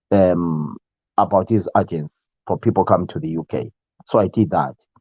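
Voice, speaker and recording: The recording of a man with a Zimbabwean accent has a dry, close sound with no echo. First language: Ndebele. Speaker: YouTube live show host. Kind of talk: casual live stream chat. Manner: halting, many fillers.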